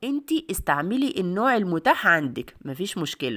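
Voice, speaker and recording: With a warm tone and an Egyptian accent, a woman speaks at a fairly low pitch and a moderate pace in a very clean recording with a silent background. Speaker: cooking video host. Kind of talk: cooking tutorial. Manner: warm, chatty.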